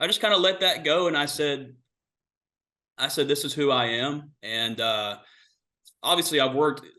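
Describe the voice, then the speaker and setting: At a moderate pace broken by long, frequent pauses, a man speaks at a fairly high pitch with ordinary pitch variation amid audible room echo. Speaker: racing driver. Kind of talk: press conference interview.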